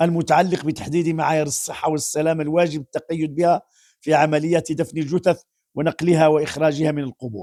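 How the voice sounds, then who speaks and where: A man with a dark, mellow tone and fairly high pitch speaks at a moderate pace with fairly even intonation, captured in a very clean recording with a silent background. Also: dry, close sound with no echo. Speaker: Islamic preacher. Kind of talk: religious commentary.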